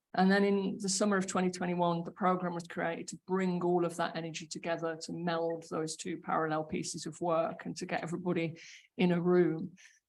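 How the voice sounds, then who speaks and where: Audible room echo surrounds a woman's fairly low voice. She speaks at a fairly quick pace in a monotone, flat intonation. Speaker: homelessness program manager. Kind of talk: conference panel talk. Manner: halting, frequent fillers and repetitions.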